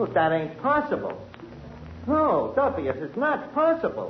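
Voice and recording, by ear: The put-on character voice swings very widely in pitch and moves at a fairly slow pace. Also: man, high pitch for a man.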